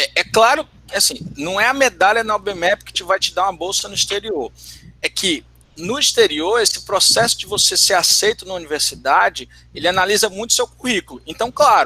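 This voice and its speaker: A man with a northeastern Brazilian accent projects a raised, high-pitched voice with a bright, sharp tone and lively intonation, at a moderate pace, in a dry, close sound with no echo. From Ceará, northeastern Brazil. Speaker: math teacher. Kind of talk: online talk Q&A. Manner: halting, many repetitions.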